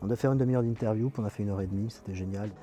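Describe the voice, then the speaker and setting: A man speaks over noticeable background noise. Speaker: radio presenter and film critic. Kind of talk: interview answer. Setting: outdoors.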